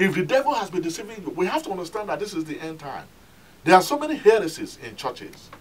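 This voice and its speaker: A man's high-pitched voice at a very fast pace, with very wide pitch swings. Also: big swings in loudness. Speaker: pastor. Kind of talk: sermon. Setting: telecast, recorded sermon for television audience. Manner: earnest, admonishing preacher's cadence, repeating 'My friend' to press the point. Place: church. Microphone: camera far.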